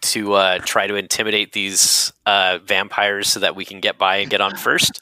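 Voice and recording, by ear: Reading aloud in a natural voice fills the recording.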